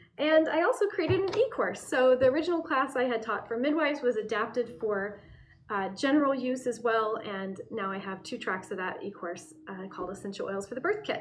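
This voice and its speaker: At a fairly quick pace, a speaker with an American accent swings widely in pitch and loudness over music in the background. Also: woman, high pitch for a woman. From US Pacific Northwest, Portland, Oregon. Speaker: herbalist and aromatherapy educator. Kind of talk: channel introduction monologue. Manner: casual, with fillers.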